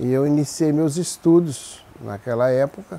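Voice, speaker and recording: Dark and mellow in tone, a man speaks at a very slow pace with a medium pitch and ordinary pitch variation. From Brazil, Minas Gerais (Águas Formosas). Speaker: former mayor. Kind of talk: interview, life story.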